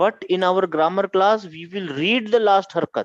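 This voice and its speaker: A man with a Pakistani accent speaks at a high pitch. The background is quiet, and the sound is dry and close with no echo. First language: Urdu. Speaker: Arabic grammar teacher. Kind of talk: online class lecture. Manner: animated.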